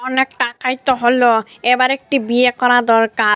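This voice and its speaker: In a cartoonish character voice, a female-sounding voice speaks at a high pitch and moderate pace with monotone, flat intonation. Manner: plaintive, eager.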